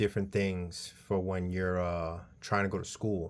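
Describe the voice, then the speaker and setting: This man talks at a moderate pace with a New York accent and a fairly low pitch. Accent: New York City. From New York, the Bronx. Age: 30s. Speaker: vlogger, college student. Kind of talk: casual personal vlog monologue. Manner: halting, many um fillers.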